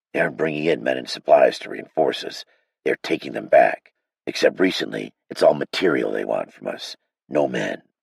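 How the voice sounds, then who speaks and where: A man performs a raspy, put-on character voice at a moderate pace. His loudness swings widely. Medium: read story. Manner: gruff, blunt.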